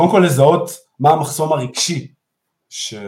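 A man talks at a fairly slow pace with a somewhat breathy voice. His intonation is lively. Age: 40s. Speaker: therapy method co-founder. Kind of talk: live interview. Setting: online live stream. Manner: halting, many repeated words.

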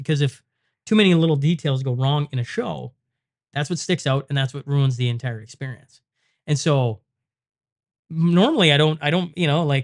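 This man has a Canadian prairie accent. His pitch sits fairly high. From Saskatchewan, Western Canada. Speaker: podcaster, former hockey player. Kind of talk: casual chat. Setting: studio.

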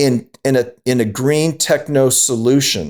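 This man speaks with an American accent. His intonation is fairly even. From Southern California. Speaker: retired food company founder. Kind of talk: interview. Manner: halting, many fillers and repeats.

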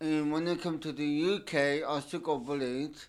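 A man talks at a very slow pace. His intonation is monotone and flat. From Turkey. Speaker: discussion panelist. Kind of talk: casual group discussion. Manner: halting.

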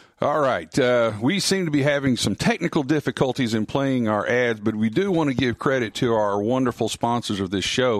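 At a moderate pace and medium pitch, a man with a Southern US accent speaks with very even loudness and hardly any pauses, the sound dry and close with no echo. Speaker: radio co-host and sports broadcaster. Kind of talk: casual chat. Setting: studio.

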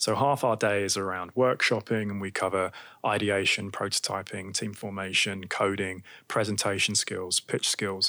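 A man's fairly low, bright, sharp voice in a British accent, monotone and flat, on a very clean recording with a silent background. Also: moderate pace. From UK. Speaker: tech startup co-founder. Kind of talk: interview.

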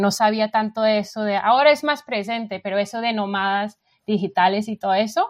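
A woman speaks with a fairly high pitch at a moderate pace. Her intonation stays fairly even. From England, London. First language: English (speaking Spanish). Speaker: frontend developer. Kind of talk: interview. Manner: halting.

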